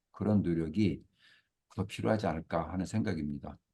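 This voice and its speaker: A man with a dark, mellow tone speaks over a quiet background. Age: 60s. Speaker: career consultant. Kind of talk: lecture. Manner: hesitant fillers.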